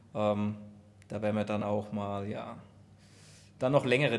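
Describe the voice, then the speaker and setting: A fairly low-pitched man at a moderate pace, with fairly even intonation. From Aschaffenburg area, Germany. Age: 30s. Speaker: amateur runner, IT worker. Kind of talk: casual chat.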